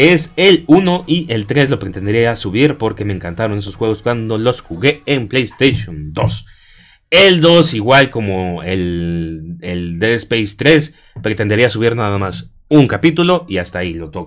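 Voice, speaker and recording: A man at medium pitch, fairly slow pace and very wide pitch swings, on a very clean recording with a silent background. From Mexico. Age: 30s. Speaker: gaming YouTuber. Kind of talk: casual vlog monologue. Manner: hesitant, many fillers.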